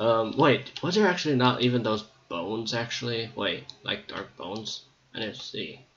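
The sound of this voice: Audible room echo surrounds this man's voice. He speaks at a fairly slow pace with a fairly bright tone. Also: fairly low pitch for a man, ordinary pitch variation.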